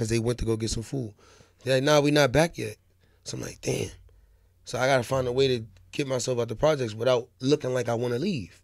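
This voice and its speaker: Against a quiet background, a man speaks at a very fast pace with fairly even intonation. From New York City (Harlem, Bronx); New York. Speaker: rapper; podcast guest. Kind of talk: interview. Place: studio. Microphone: studio mic.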